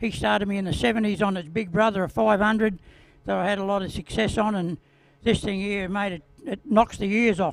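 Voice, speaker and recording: Over music in the background, a man with an Australian accent talks fairly quickly in a high voice with ordinary pitch variation. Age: 70s. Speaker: retired speedway rider. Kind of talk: interview.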